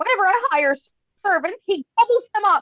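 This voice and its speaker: In a put-on character voice, a female-sounding voice bellows loud and squeaky at an extremely high pitch and a moderate pace. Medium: read story.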